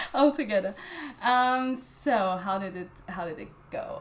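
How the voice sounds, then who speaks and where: A woman with a German accent at a fairly slow pace, with ordinary pitch variation. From Austria. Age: 20s. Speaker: literary journal editor. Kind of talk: interview. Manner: halting, many fillers.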